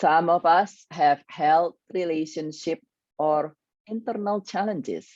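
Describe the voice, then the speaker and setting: With an Indonesian accent, a woman speaks at a very slow pace with a fairly low pitch and ordinary pitch variation, in a dry, close sound with no echo. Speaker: grief coach. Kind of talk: online workshop presentation.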